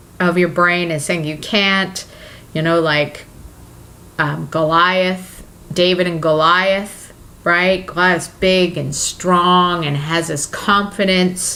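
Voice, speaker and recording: A woman speaks at a very slow pace with a bright, sharp tone and medium pitch. Her pitch varies in an ordinary way, and there is audible room echo. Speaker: self-help vlogger. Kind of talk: motivational vlog monologue. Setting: talking to camera. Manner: halting, many fillers.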